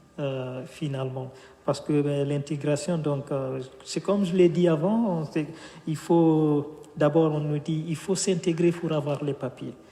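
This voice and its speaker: A man speaks at a very slow pace with noticeable background noise. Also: fairly high pitch for a man, fairly even intonation. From Guinea. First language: Fula (speaking French). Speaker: author. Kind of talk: interview. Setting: bookshop event streamed live. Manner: hesitant, many fillers.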